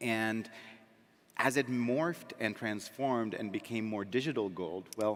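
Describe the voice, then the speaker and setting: With an American accent, a man speaks at a fairly slow pace in a plain, everyday voice, at a medium pitch with ordinary pitch variation. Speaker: crypto company founder. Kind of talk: panel discussion.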